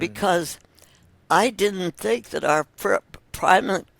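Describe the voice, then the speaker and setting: A woman speaks in a fairly low pitch with vocal fry and very wide pitch swings. The sound is dry and close, with no echo. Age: 80s+. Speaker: physician. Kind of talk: interview answer.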